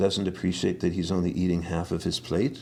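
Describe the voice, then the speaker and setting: A man with a Canadian Prairies accent speaks at a moderate pace. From Saskatchewan, Canada. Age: 60s. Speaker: herbalist. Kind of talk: interview. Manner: halting.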